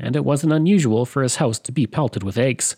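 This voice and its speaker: Against a quiet background, a man with a Canadian accent and an unremarkable speaking voice talks at a fairly quick pace with a medium pitch and lively intonation. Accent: general Canadian. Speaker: podcast host. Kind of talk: scripted history narration. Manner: steady, measured, documentary-style.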